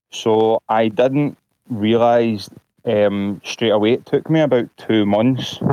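The speaker has a Glasgow accent and fairly even intonation. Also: man. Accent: Glasgow Scottish. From Scotland. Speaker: caller, vaccine-injured patient. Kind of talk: personal testimony on a call-in show.

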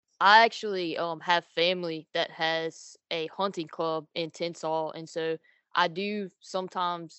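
This woman speaks with an American accent in a fairly low pitch. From Louisiana. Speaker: college student and hunter. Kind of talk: casual interview.

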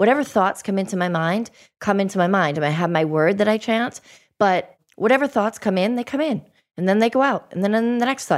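A woman with an American accent and an unremarkable speaking voice of medium pitch talks at a fairly quick pace with lively intonation, in a very clean recording with a silent background. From Boston. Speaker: podcast host. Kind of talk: interview.

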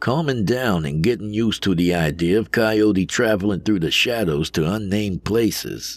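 In a natural reading voice, the speaker's pitch varies in an ordinary way.

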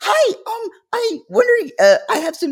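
Putting on a character voice, a man speaks fairly slowly at an extremely high pitch. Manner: hesitant, overly polite.

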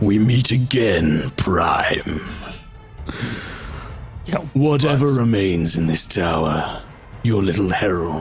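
Clear music plays behind a man's put-on character voice, fairly low in pitch, at a very slow pace with long, frequent pauses. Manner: menacing, taunting.

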